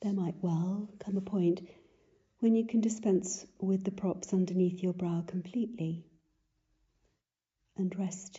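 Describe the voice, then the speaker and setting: A woman's calm, gentle voice in a British accent, medium in pitch and somewhat breathy, with monotone, flat intonation, a fairly slow pace and long, frequent pauses. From United Kingdom. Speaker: yoga instructor. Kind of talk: guided yin yoga class instruction.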